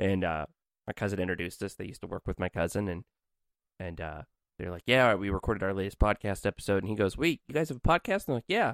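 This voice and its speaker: A man is speaking. His pace is very fast. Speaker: podcast co-host. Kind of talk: casual chat.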